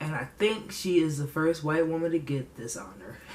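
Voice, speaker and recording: With an animated tone, a woman speaks at a very deep, low pitch over noticeable background noise. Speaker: podcast host. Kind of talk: casual commentary.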